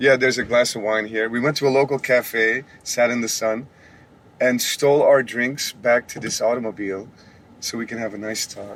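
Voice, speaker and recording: A man's monotone, flat intonation with big swings in loudness. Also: medium pitch for a man, moderate pace. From Belgium, Antwerp. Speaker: podcast host and muralist. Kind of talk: casual interview chat. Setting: parked rental car. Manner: many filler uhs. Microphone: no studio engineer or usual microphones.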